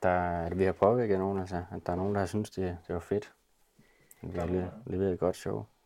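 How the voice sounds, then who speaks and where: Against a quiet background, a dark, mellow tone carries fairly even intonation at a moderate pace. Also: man, very deep, low pitch for a man. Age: 20s. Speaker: rock band drummer. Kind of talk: casual group interview. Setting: rehearsal room.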